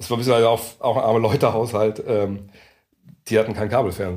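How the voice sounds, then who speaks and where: The man sounds somewhat breathy and keeps his intonation fairly even. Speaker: basketball journalist. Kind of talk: casual interview. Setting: meeting room in Berlin.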